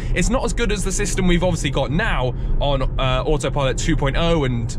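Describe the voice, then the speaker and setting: A man at a fairly quick pace, dry sound with no echo, noticeable background noise underneath. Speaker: car channel host driving. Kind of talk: casual vlog commentary. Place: car.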